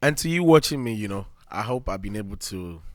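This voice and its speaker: Heard in a very clean recording with a silent background, a man with a Nigerian accent talks at a fairly quick pace. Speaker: podcast host. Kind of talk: motivational monologue. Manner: fast.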